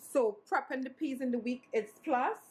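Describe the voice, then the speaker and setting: A somewhat breathy woman's voice. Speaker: vlogger. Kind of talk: casual vlog. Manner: fast.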